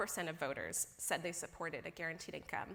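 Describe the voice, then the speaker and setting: A woman with a Midwestern US accent. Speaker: policy researcher. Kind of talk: conference opening remarks. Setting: stage with audience.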